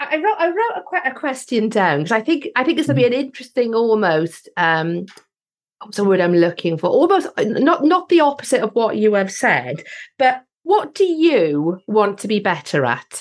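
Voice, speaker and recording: Very wide pitch swings at a moderate pace. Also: woman, fairly high pitch for a woman. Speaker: podcast host. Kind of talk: interview.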